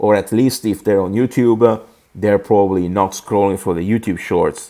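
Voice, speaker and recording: The man's pitch sits fairly low. He speaks at a moderate pace. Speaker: music producer and YouTuber. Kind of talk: vlog tutorial. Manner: casual, with frequent hesitations.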